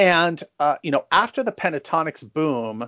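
This man with an American accent has a fairly high pitch and an unremarkable speaking voice. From San Francisco, US West Coast. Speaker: a cappella producer and arranger. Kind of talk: interview.

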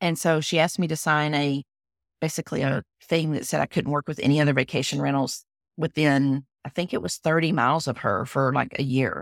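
A woman with a Texan accent talks at a fairly quick pace in a very deep, low pitch with ordinary pitch variation. The recording is very clean with a silent background and a dry, close sound with no echo. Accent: Southern US, Texan. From Texas. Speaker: business consultant and website designer. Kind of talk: casual interview conversation.

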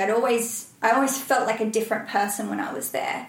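A woman with a fairly high pitch speaks in an Australian accent. There is audible room echo and noticeable background noise. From Australia, Byron Bay. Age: 30s. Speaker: ultrarunner and reality TV contestant. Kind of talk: podcast interview.

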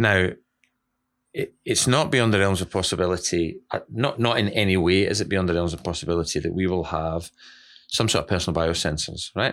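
On a very clean recording with a silent background, a man with a very deep, low pitch speaks at a fairly quick pace with ordinary pitch variation. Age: 40s. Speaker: dentist and podcast co-host. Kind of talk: casual chat.

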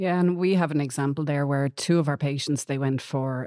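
A woman with an Irish accent speaks in a very deep, low pitch and a dark, mellow tone, with fairly even intonation, recorded dry and close with no echo on a very clean track with a silent background. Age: 40s. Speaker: patient advocate. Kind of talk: interview.

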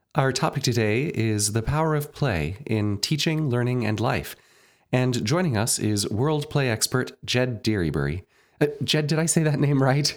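On a very clean recording with a silent background, a man with a normal speaking voice talks at a moderate pace in a medium pitch, his intonation lively and his loudness very even. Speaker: podcast host and conducting professor.

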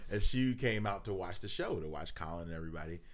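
Fairly quick speech from a man with an American accent, very wide pitch swings and audible room echo. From Philadelphia, US. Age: 40s. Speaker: rapper. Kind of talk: casual chat.

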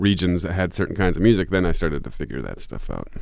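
A man speaks with vocal fry. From Michigan. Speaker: country and Americana musician. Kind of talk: interview. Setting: radio studio.

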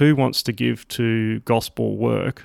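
Recorded dry and close with no echo, a man talks with an Australian accent. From Sydney, Australia. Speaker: ministry operations director. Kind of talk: interview conversation.

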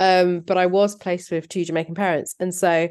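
With a southern English accent, a woman speaks at a moderate pace. Her voice is fairly low in pitch, and her intonation stays fairly even. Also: quiet background. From southern England. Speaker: PhD researcher and journalist. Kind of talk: interview.

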